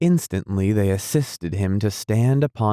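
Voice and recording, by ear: The text is read aloud in a natural-sounding voice.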